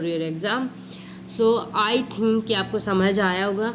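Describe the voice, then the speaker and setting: Amid noticeable background noise and audible room echo, a woman speaks in a medium pitch with fairly even intonation. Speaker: online tutor. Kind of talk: exam revision lecture. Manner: soft-spoken.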